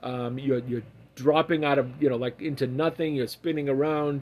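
A man with a Massachusetts accent, fairly high pitch for a man, fairly even intonation, and a moderate pace. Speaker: podcast guest, host's father. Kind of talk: casual chat.

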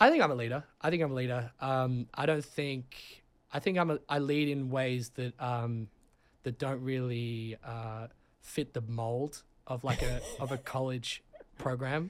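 Delivered at a fairly slow pace, the voice carries an Australian accent and fairly even intonation. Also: man, medium pitch for a man. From Sydney, Australia. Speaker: college soccer player. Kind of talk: casual chat.

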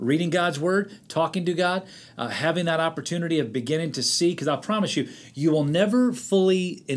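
Over a silent background in a very clean recording, a man with a fairly high pitch speaks in a plain, everyday voice. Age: 50s. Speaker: pastor. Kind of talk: interview.

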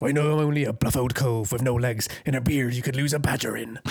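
Putting on a character voice, a man talks very fast at a medium pitch. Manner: gruff.

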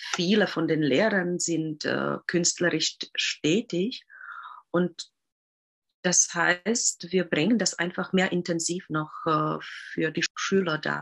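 A woman's fairly low voice at a very slow pace, full of long, frequent pauses. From Czech Republic. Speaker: Waldorf teacher. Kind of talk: interview. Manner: halting.

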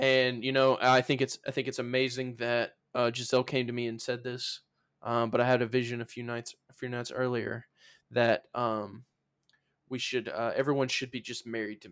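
A man with a Southern US accent speaks at a moderate pace and medium pitch, his intonation monotone and flat while his loudness swings widely. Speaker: podcast co-host. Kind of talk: casual chat.

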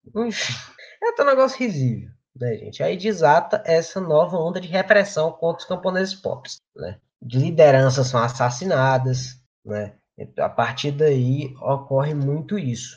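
Big swings in loudness and lively intonation mark a man with an ordinary speaking voice and a fairly high pitch. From Brazil, Rio Grande do Norte. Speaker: study group member. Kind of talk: presentation in online study group.

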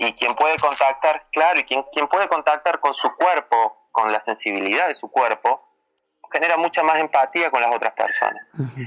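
This man has a plain, everyday voice, fairly high in pitch with ordinary variation, speaking at a moderate pace in a dry, close sound with no echo. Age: 30s. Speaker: workshop facilitator on masculinities. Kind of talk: interview. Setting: phone call.

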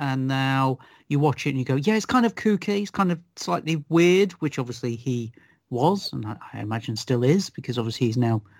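Speaking in a British accent at a moderate pace, a man uses a medium pitch and lively intonation in a dry, close sound with no echo. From UK. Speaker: film critic. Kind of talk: casual chat. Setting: video call.

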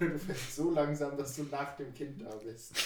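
Audible room echo and a fairly slow pace. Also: man. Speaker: podcast guest. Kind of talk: casual chat.

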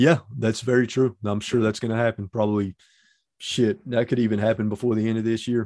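With an ordinary speaking voice, a man talks at a fairly quick pace in a medium pitch with fairly even intonation, and the sound is dry and close with no echo. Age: 30s. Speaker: YouTuber. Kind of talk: casual chat.

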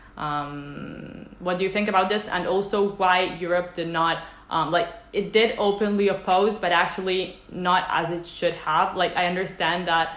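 A woman with an Italian accent at a fairly slow pace, with audible room echo and noticeable background noise. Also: medium pitch for a woman. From Italy. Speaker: interviewer. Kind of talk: interview. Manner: halting.

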